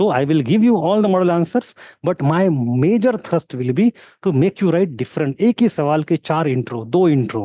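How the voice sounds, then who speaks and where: A man with a non-native accent speaks in a high voice with very wide pitch swings. His loudness stays very even. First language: not Hindi (speaking Hindi). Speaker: history teacher. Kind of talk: online lecture with live Q&A. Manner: code-switching Hindi and English.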